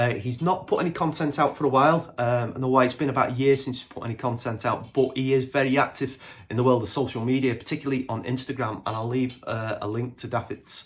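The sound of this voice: A man speaks fast at a medium pitch with few pauses. His intonation stays fairly even.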